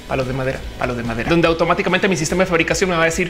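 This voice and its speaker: Clear music in the background accompanies a woman with a very deep, low pitch and ordinary pitch variation. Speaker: video creator. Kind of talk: casual vlog chat. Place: home room.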